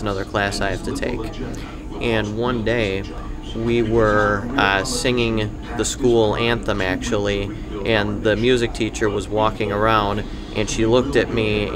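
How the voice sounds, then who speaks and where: With clear music playing in the background, a man talks at a moderate pace. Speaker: podcast guest. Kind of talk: interview answer. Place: cafe. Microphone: studio mic.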